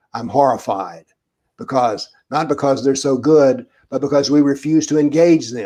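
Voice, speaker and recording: A man with an American accent speaks at a moderate pace, his medium-pitched voice carrying a dark, mellow tone. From USA. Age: 80s+. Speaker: author and commentator on political Islam. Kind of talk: Q&A answers on a video talk.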